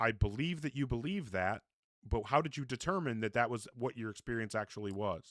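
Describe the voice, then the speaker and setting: Here a man speaks in an ordinary speaking voice at medium pitch and a fairly quick pace. His intonation is lively, and the sound is dry and close with no echo. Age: 40s. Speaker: debate show host. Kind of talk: live call-in debate. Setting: live stream. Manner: interrupting, insistent.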